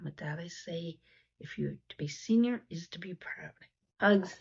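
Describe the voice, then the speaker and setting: Somewhat breathy speech from a woman at a fairly slow tempo. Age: 60s. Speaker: YouTuber discussing seniors and poverty. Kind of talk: vlog talk to camera. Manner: hesitant with fillers and repetitions.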